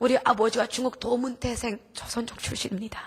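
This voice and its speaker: Speaking at a fairly quick pace, a woman has a high-pitched voice. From North Korea. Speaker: missionary, North Korean defector. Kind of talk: testimony. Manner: emotional.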